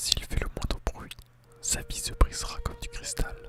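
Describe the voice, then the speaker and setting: Someone whispers at a fairly slow pace while music plays in the background. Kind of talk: ASMR story reading. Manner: whispered.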